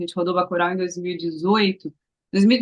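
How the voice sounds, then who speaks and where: Very fast and fairly low in pitch, a woman's voice runs with fairly even intonation. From Brazil, Recife (Pernambuco). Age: 30s. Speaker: actress. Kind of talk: interview.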